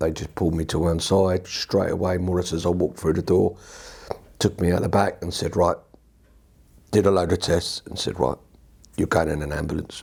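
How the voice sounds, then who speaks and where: A man with a very deep, low, somewhat breathy voice speaks at a fairly quick pace in a monotone, flat intonation, with long, frequent pauses. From southern England, Watford. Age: 60s. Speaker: patient, army veteran. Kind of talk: testimony. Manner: halting.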